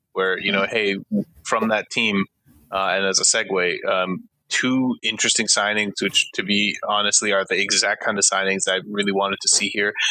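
The man talks at a moderate pace, his loudness very even throughout. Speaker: podcast host. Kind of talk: casual chat.

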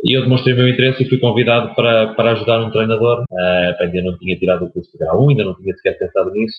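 A man rattles on at a very fast pace with hardly any pauses, his loudness swinging widely. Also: medium pitch for a man, ordinary pitch variation. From Portugal, Aveiro district. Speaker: basketball coach. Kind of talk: interview. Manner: halting.

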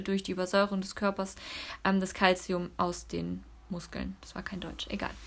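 A woman speaks in an unremarkable speaking voice at a medium pitch. Her pace is fairly quick. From Cologne area, western Germany. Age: 30s. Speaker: network marketer and mother. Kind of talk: casual interview chat. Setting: at home, sitting on the carpet.

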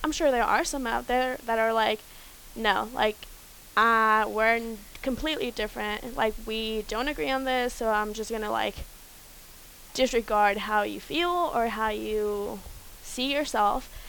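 At a fairly slow pace, a woman with a fairly high pitch speaks in an unremarkable speaking voice with ordinary pitch variation. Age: 20s. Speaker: college student. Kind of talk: group discussion.

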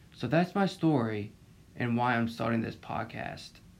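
In a Southern US accent, a man speaks at a moderate pace with a medium pitch. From Florida Panhandle. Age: 20s. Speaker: podcast host. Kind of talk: casual monologue.

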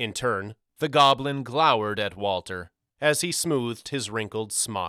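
The clip has a natural reading voice set against a quiet background.

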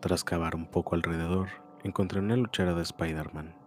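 Here a man talks at a fairly quick pace. His voice has a very deep, low pitch. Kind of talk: ghost story telling. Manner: first-person creepypasta reading with mounting dread.

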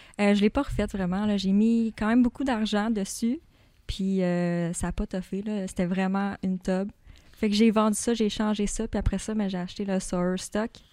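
A woman with a Quebec accent in a dark, mellow tone, fairly even intonation and a moderate pace. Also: medium pitch for a woman, very clean recording, silent background. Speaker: bookkeeper at car tuning shop. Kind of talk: casual interview.

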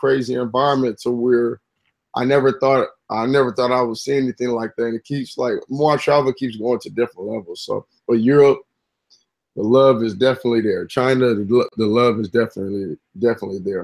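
A man talks at a fairly quick pace with ordinary pitch variation. The sound is dry and close, with no echo. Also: medium pitch for a man. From Los Angeles area, California. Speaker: basketball trainer. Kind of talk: casual interview.

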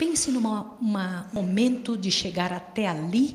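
Noticeable background noise and audible room echo surround the recording. A woman speaks very slowly at a medium pitch with lively intonation. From Brazil. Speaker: volunteer missionary. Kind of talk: sermon.

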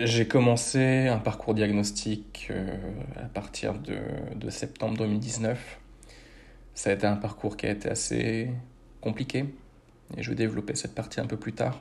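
A man's fairly low voice with vocal fry, fairly even intonation, and a fairly slow pace broken by long, frequent pauses. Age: 30s. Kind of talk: personal testimony. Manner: measured, with frequent hesitations.

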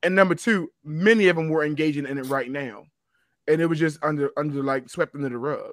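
This man has an unremarkable speaking voice, fairly high in pitch, with ordinary pitch variation and a fairly quick pace. The recording is very clean with a silent background, and the sound is dry and close with no echo. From Baltimore, US. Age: 40s. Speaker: podcast co-host, teacher. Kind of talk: casual chat.

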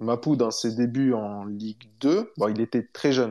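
In a quiet background, a man speaks at a medium pitch with a dark, mellow tone and ordinary pitch variation. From southern France, Montpellier area. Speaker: former professional footballer. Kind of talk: casual interview.

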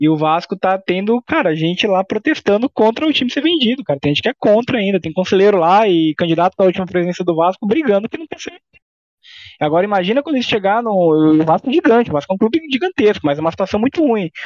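Talking at a very fast pace, a man with a high pitch uses lively intonation in a dry, close sound with no echo. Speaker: football podcast host. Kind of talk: casual chat.

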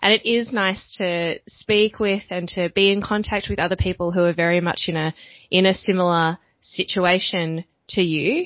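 In an Australian accent, a woman speaks at a moderate pace with fairly even intonation. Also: medium pitch for a woman. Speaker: language event organizer. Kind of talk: casual interview chat. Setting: video call.

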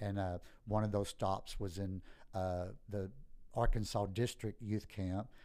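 With a dark, mellow tone, a man speaks fairly slowly in a fairly low voice with monotone, flat intonation. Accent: Southeast Texas. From Southeast Texas. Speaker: pastor. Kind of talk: interview about life story.

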